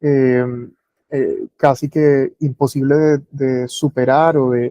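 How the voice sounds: The tone is dark and mellow, the sound dry and close with no echo, and the intonation stays fairly even. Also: man.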